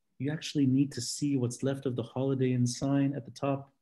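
The voice has a dark, mellow tone and an American accent. The background is quiet. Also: man. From Lebanon. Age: 30s. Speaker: podcast host and city tour guide; guest lecturer, podcast host, tour guide. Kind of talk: lecture. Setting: video call. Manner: passionate; animated. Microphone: video call.

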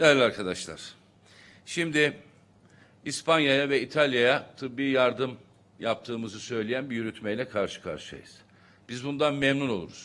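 A man speaks at a moderate pace in a bright, sharp tone with ordinary pitch variation. He leaves long, frequent pauses. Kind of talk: press conference statement. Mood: critical, formal. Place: hall.

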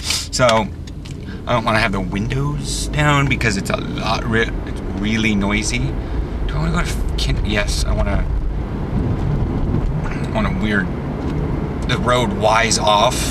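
Over loud background noise, a man talks at a fairly slow pace with long, frequent pauses. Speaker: vlogger driving. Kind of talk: casual vlog chat. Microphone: phone near.

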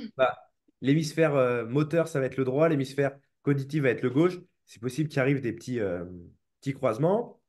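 Against a quiet background, a man with a fairly high pitch talks at a fairly quick pace, with ordinary pitch variation, big swings in loudness, and long, frequent pauses. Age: 20s. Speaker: movement coach and seminar teacher; movement coach, seminar teacher. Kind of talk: interview. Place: home room. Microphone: video call.

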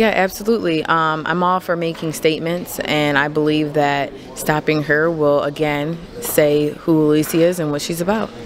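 Her pitch very deep and low, a woman speaks at a moderate pace with fairly even intonation. Light background noise is present. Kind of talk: interview answer. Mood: confident, relaxed. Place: hall. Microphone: handheld.

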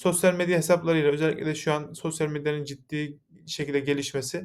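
A man at a fairly high pitch and moderate pace, with fairly even intonation, in a very clean recording with a silent background. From Yozgat, Turkey. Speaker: mechanical engineer, company founder. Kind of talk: investor pitch presentation. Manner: formal, with frequent filler hesitations.

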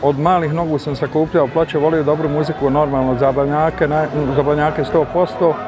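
A man speaks with fairly even intonation. The sound is dry with no echo, though background noise is noticeable. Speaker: former DJ. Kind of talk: interview answer. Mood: nostalgic, relaxed. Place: street. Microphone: lapel.

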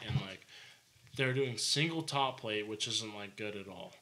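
A plain, everyday voice from a man with an American accent, fairly low in pitch, moderate in pace, with ordinary pitch variation. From Arizona, Prescott Valley; Arizona. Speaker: home builder; podcast guest, contractor. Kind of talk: casual chat. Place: studio. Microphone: studio mic.

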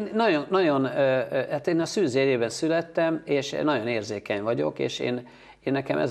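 With very wide swings in pitch, a man talks at a moderate pace over a quiet background. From Hungary, Pécs; Hungary. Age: 50s. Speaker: photographer; guest. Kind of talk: interview. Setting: TV studio. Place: studio. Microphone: lapel.

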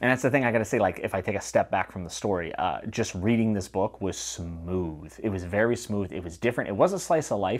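A man talks at a fairly quick pace and fairly low pitch, barely pausing. His pitch varies in an ordinary way, and the background is quiet. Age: 30s. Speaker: booktuber reviewing fantasy novels. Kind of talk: solo video review. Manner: casual and conversational. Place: home room. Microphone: lapel.

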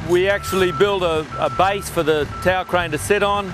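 With noticeable background noise around him, a man speaks in a high pitch, and the sound is dry with no echo. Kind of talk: interview answer. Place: open country. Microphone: lapel.

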